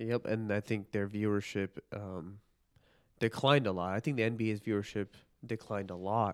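A man with an American accent speaks in an ordinary speaking voice at a fairly low pitch. His intonation is fairly even, and the recording is very clean with a silent background. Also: moderate pace. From US Midwest, Chicago northern suburbs. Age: 20s. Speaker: police officer, co-host friend. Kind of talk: casual chat. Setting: home recording.

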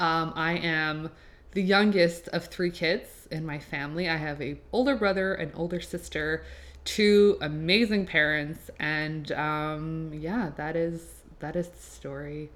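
A woman speaks at a fairly low pitch with ordinary pitch variation. Her tone is animated and enthusiastic, with big swings in loudness. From Quebec, Laval. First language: French. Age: 20s. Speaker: podcast host and graphic designer. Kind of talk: casual solo podcast intro. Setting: home apartment recording. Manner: animated, enthusiastic.

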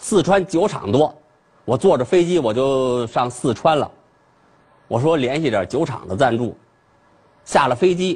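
Man with a somewhat breathy voice, lively intonation and a fairly slow pace. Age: 40s. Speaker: comedian. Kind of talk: stand-up.

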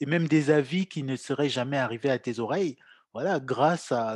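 An ordinary speaking voice from a man, fairly high in pitch, at a moderate pace, with a dry, close sound, no echo and a quiet background. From Cameroon. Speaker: podcast host. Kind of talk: interview.

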